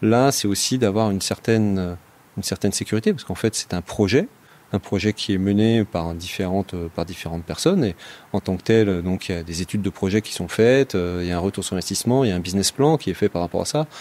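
A fairly low-pitched man at a very fast pace, ordinary pitch variation, dry, close sound with no echo. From Saône-et-Loire, Burgundy, France. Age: 40s. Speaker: project manager and citizen investor. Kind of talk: interview testimony. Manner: halting, many repetitions.

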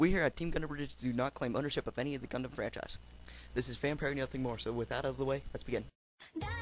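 A man puts on a raspy character voice at a medium pitch. He delivers it at a very fast pace. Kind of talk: casual comic narration. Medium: comedy sketch. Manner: sarcastic, rambling, irritable.

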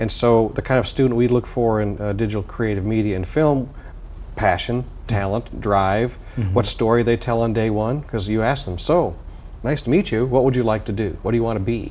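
A man with a normal speaking voice talks fairly quickly at a medium pitch with ordinary pitch variation. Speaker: music professor and composer. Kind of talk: interview. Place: studio.

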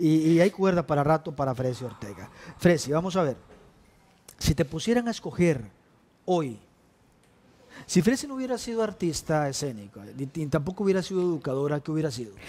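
A man speaks fairly quickly at a fairly high pitch with very wide pitch swings. He leaves long, frequent pauses. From Costa Rica. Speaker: TV talk show host. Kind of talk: interview. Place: studio. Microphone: headset.

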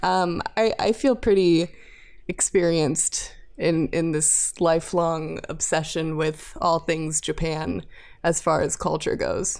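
The pace is very slow as a woman speaks. The recording is very clean, with a silent background. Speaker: podcast co-host. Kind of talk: casual chat.

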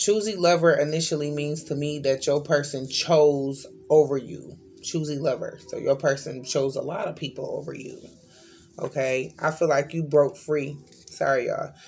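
A woman with a very deep, low pitch speaks over faint music in the background. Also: fairly even intonation, moderate pace. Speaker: card reader. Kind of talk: tarot reading commentary. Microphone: phone near.

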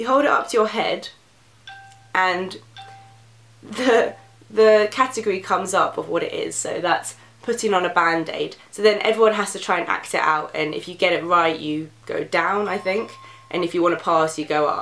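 Audible room echo surrounds a fairly bright tone delivered at a moderate pace with ordinary pitch variation. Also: woman.

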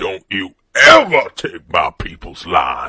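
A man's raspy voice at a fairly slow pace. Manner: sneering, preachy.

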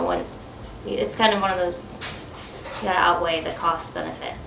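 A woman speaks at a fairly quick pace, with light background noise and audible room echo. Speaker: boat-living vlogger. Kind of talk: casual vlog chat. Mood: mildly frustrated. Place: boat. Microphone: camera far.

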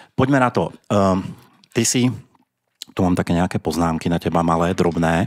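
A man's very deep, low voice at very even loudness against a quiet background. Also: ordinary pitch variation, moderate pace. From Slovakia. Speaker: podcast host. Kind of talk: casual chat; outro announcement. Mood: relaxed, joking. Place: studio. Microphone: studio mic.

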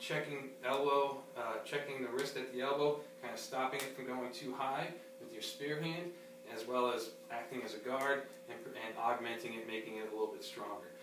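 Audible room echo and noticeable background noise fill the clip. Through them, a man speaks. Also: ordinary pitch variation, moderate pace. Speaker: karate instructor. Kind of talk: tutorial. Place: gym. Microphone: camera far.

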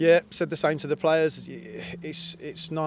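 With light background noise and a dry, echo-free sound, a man speaks at a moderate pace. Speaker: assistant football manager. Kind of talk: post-match interview. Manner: reflective, measured, slightly halting. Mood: disappointed but reflective. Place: stadium. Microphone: handheld.

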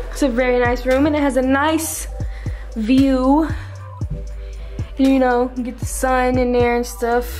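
Faint music plays in the background as a woman speaks at a fairly slow pace. Her high-pitched voice stays monotone and flat. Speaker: vlogger filming the tour. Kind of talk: casual vlog chat. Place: home room. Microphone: phone near.

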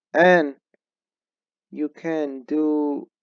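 A man speaks in a flat monotone, the sound dry and close with no echo. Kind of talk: casual podcast talk to camera. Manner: stuttering speech with frequent fillers.

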